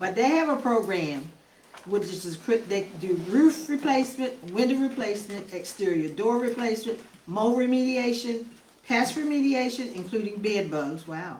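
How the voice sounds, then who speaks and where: With audible room echo, a woman talks in a fairly high pitch and lively intonation. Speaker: city council official. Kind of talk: public meeting report. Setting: council meeting, livestreamed. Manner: fast.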